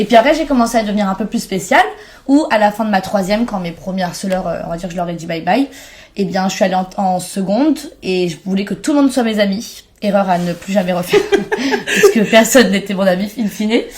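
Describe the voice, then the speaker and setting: Over noticeable background noise, a woman delivers her words at a fairly quick pace. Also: medium pitch for a woman, ordinary pitch variation. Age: 20s. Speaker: content creator. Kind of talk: podcast interview.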